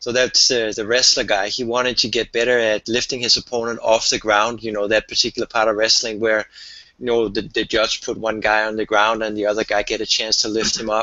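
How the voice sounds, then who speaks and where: A man at a fairly quick pace, his intonation monotone and flat. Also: medium pitch for a man. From Denmark. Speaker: strength coach. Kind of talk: interview. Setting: phone call.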